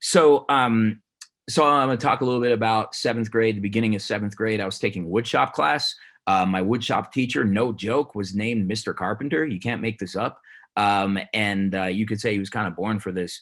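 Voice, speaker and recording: A man with a plain, everyday voice, fairly low pitch, ordinary pitch variation and a fairly quick pace, with an American accent. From Denver, Colorado (US). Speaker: teacher. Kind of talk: award speech.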